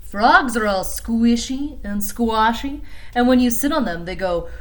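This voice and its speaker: A put-on character voice, fairly high in pitch, at a fairly slow pace. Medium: read story.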